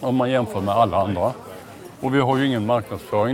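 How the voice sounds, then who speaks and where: A man speaks at a medium pitch with ordinary pitch variation. Noticeable background noise runs behind him. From Småland, Sweden. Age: 60s. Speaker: retail company CEO. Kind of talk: casual interview while walking. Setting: walking through a large store.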